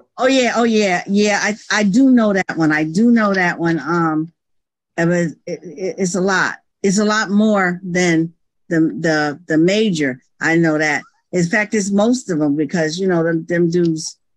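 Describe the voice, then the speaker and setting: A woman talks in an ordinary speaking voice at a fairly low pitch, with ordinary pitch variation and a fairly slow pace. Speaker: pastor. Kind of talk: quiz game. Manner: excitable.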